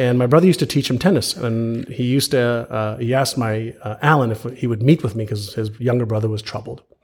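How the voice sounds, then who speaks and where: At a very fast pace with hardly any pauses, a man talks in a somewhat breathy, medium-pitched voice with ordinary pitch variation. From Montreal, Canada (born in Israel). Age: 50s. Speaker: author and entrepreneur. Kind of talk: interview conversation. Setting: live podcast in person.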